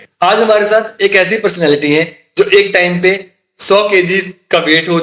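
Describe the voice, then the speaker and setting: A man's high-pitched voice carries ordinary pitch variation and moves at a moderate pace. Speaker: podcast host. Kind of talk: podcast introduction.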